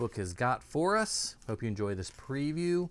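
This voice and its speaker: The man sounds animated, his intonation lively, captured on a very clean recording with a silent background. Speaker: book reviewer / YouTuber. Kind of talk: casual book flip-through review.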